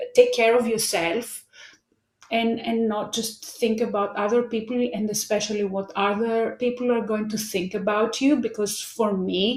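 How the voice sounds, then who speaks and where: With a Greek accent, a woman speaks at a fairly high pitch in a monotone, flat intonation. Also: moderate pace. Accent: Greek accent, non-native English. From Greece. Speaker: life coach. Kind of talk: interview. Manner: halting.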